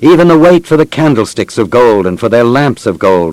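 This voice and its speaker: At a moderate pace, a man with a normal speaking voice talks at a medium pitch with lively intonation. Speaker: narrator reading scripture aloud. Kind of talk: dramatic scripture narration, reading aloud. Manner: solemn, measured, reverent.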